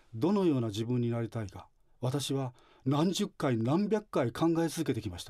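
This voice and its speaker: Over a quiet background, a man speaks with a dark, mellow tone at a moderate pace. His pitch swings very widely and his loudness shifts a lot. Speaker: religious facility director; guest. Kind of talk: radio interview. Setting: studio. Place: studio.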